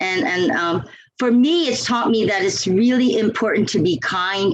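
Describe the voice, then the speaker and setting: Speaking at a fairly slow pace, a woman swings her pitch very widely. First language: not English. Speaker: longtime Toastmasters member. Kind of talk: podcast interview.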